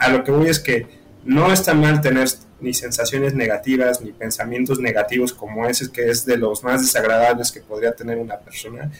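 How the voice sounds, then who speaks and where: Noticeable background noise runs under the clip. A man speaks with fairly even intonation. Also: medium pitch for a man, moderate pace. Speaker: university student. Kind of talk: casual chat.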